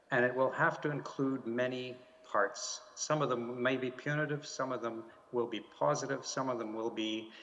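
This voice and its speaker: Noticeable background noise behind a man of medium pitch, with a Canadian accent and fairly even intonation. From Canada. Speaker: diplomat. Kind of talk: panel discussion. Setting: video call from home. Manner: halting, many fillers and repeats.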